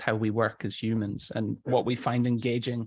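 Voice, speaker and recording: A soft-spoken man talks at a fairly slow pace and medium pitch in a monotone, flat intonation. The recording is very clean with a silent background and a dry, close sound with no echo. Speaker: storytelling and voice coach. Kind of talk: interview.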